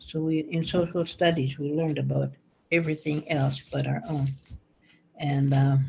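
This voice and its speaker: A woman speaks at a moderate pace in a Canadian accent, her very deep, low voice somewhat breathy. Her delivery is flat and monotone, broken by long, frequent pauses. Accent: Stoney Nakoda First Nations English. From Stoney Nakoda First Nation, Alberta, Canada. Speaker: elder and school counselor. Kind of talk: talking circle remarks. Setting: video call. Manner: halting.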